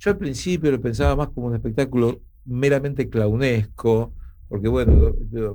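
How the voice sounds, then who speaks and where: Male voice at a medium pitch, lively intonation, noticeable background noise. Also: moderate pace. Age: 60s. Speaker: actor. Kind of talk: casual chat. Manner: animated.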